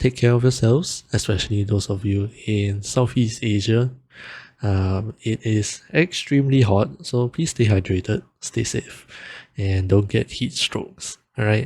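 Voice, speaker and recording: On a very clean recording with a silent background, a man speaks at a fairly low pitch. His delivery is somewhat breathy and fairly slow. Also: ordinary pitch variation. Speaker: music producer and vtuber. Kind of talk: tutorial.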